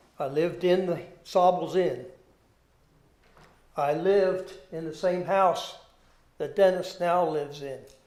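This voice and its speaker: Very slowly, a man with an American accent speaks in a dark, mellow tone at a high pitch. His intonation is fairly even, and audible room echo surrounds him. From Maryland, Taneytown. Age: 70s. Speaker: retired educator, public commenter. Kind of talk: public testimony at a hearing. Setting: public zoning board hearing.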